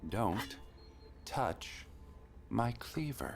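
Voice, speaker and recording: A man uses a put-on character voice at a very deep, low pitch with very wide pitch swings. Background noise is clearly audible. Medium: video game.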